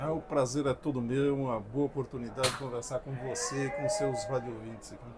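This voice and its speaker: The speech runs at a fairly quick pace with hardly any pauses and ordinary pitch variation. Noticeable background noise sits behind it. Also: man, medium pitch for a man. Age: 70s. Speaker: agricultural researcher. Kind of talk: interview. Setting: at a conference. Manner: halting.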